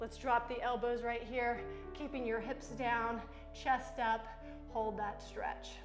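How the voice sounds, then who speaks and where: Clear music plays in the background as the voice moves at a very slow pace with fairly even intonation. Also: woman, high pitch for a woman. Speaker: fitness instructor. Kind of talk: workout instruction. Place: gym.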